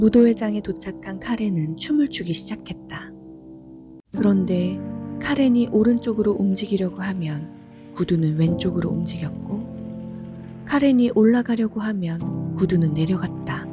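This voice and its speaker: Music plays in the background as a woman talks at a fairly slow pace. Her tone is calm and soothing. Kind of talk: sleep story. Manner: calm, soothing.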